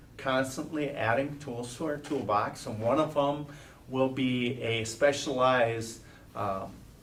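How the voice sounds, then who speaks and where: Audible room echo surrounds a man who speaks very slowly at a medium pitch with ordinary pitch variation. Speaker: school superintendent. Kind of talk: board meeting report.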